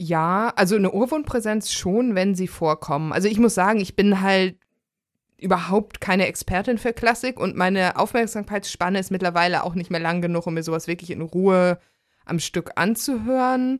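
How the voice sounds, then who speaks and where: At a moderate pace, a woman talks in a plain, everyday voice at a medium pitch with ordinary pitch variation. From Germany. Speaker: podcast host. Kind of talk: casual chat.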